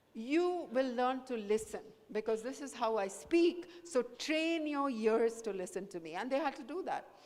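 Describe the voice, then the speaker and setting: Amid noticeable background noise, a woman with a high pitch speaks with lively intonation. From India, small town in Madhya Pradesh. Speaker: professor. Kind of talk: motivational talk to school students. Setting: school camp talk to students. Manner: code-switching between English and Hindi.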